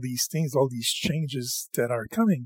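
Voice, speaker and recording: A man speaks with lively intonation and a somewhat breathy voice, recorded dry and close with no echo. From Quebec. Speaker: podcast host. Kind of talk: casual chat.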